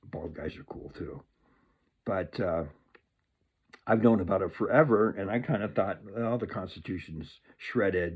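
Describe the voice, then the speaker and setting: A man with an American accent, at a moderate pace, with ordinary pitch variation. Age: 60s. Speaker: political commentator. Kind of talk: casual monologue. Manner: animated.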